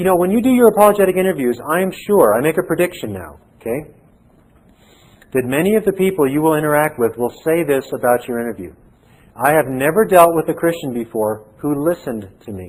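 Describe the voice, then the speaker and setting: Speaking at a fairly quick pace, a man with a fairly high pitch moves through very wide pitch swings. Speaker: seminary professor. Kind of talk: lecture. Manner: pauses to find words.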